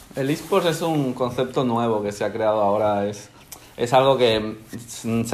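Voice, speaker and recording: Noticeable background noise runs through the clip. The man's voice sits at a medium pitch. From Spain (born in Ecuador, moved at age one). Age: 20s. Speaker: professional gamer. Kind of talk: interview.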